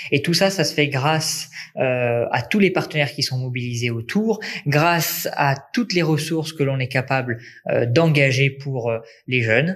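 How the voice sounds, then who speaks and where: A man speaks at a fairly high pitch with ordinary pitch variation. He talks at a fairly slow pace. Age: 20s. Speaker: nursing student and volunteer first-aider. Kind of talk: interview testimony. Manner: hesitant fillers (euh).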